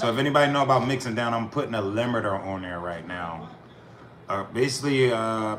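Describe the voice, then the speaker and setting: Fairly quick speech from a man at medium pitch, ordinary in pitch variation, amid noticeable background noise and audible room echo. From US Northeast, Philadelphia. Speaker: rapper and music producer streamer. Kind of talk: casual live-stream talk while mixing music.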